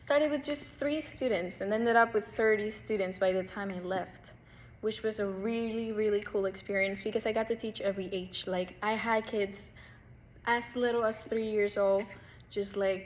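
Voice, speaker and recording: A woman with a normal speaking voice, fairly high pitch, fairly even intonation and a moderate pace. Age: young. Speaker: pianist and piano teacher. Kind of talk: casual self-introduction monologue. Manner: casual with frequent fillers.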